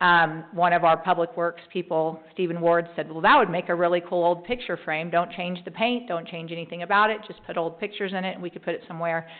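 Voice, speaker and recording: A woman with a fairly low pitch talks very fast, hardly pausing, her intonation fairly even but her loudness swinging widely. Noticeable background noise sits behind her. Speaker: mayor. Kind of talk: city council meeting report. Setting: council chamber meeting.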